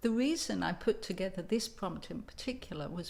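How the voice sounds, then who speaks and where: A woman with an English accent speaks fairly slowly at a medium pitch, with vocal fry and ordinary pitch variation. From England. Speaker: writing coach. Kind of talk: tutorial with personal storytelling.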